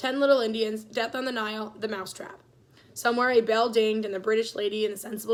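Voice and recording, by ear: Fairly even intonation in a natural voice reading aloud.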